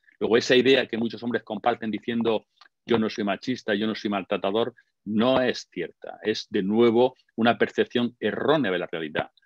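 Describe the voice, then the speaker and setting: A man's ordinary speaking voice at medium pitch, with fairly even intonation and a moderate pace. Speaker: lecturer on gender and masculinity. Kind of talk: online conference talk. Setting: online webinar.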